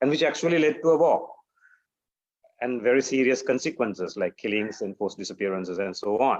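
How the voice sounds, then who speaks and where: Speaking very fast, a man talks with a Sri Lankan accent. The background is quiet. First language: Sinhala. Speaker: human rights defender. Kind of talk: panel talk. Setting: webinar. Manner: halting, many fillers.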